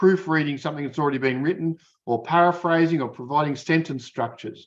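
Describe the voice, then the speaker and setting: Set against a quiet background, a man speaks at a fairly high pitch with ordinary variation. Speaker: academic keynote speaker. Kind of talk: keynote lecture. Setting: conference keynote. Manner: fast; hesitant, many fillers.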